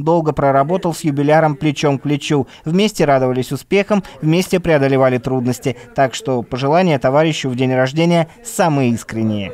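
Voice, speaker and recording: Moderately paced, a man speaks in an unremarkable speaking voice, fairly high in pitch, with ordinary pitch variation. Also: hardly any pauses. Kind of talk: TV news narration.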